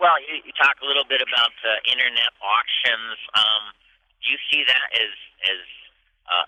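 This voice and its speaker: Long, frequent pauses from a man speaking at an average tempo. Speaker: radio show host. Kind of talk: live radio broadcast, interviewing guests. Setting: conference booth with crowd noise.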